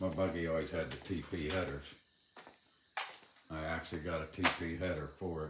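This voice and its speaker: A man speaks in a very deep, low voice with vocal fry and a monotone, flat delivery, and the room echo is audible. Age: 60s. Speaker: DIY mechanic. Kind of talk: casual tutorial. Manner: casual, halting.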